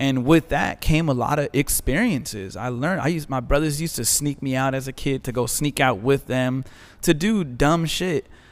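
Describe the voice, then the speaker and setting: A man's fairly high voice moves at a moderate pace, with pitch that varies in an ordinary way. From Azusa, California. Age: 20s. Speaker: DJ. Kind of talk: casual chat.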